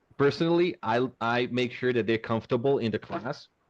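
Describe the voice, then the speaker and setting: A man's plain, everyday voice with an American accent, medium in pitch, at a moderate pace over a quiet background. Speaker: English teacher. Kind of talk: webinar answer to a question.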